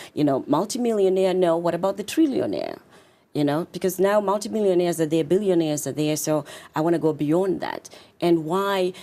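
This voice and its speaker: In a Zimbabwean accent, a woman speaks fairly quickly with a fairly low pitch and ordinary pitch variation. The tone is dark and mellow, in a very clean recording with a silent background. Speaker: confidence coach and author. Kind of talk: interview.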